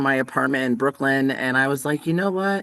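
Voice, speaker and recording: A man talks fairly quickly with lively intonation in an unremarkable speaking voice. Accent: American. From US Northeast, Connecticut. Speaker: singer and songwriter. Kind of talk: interview.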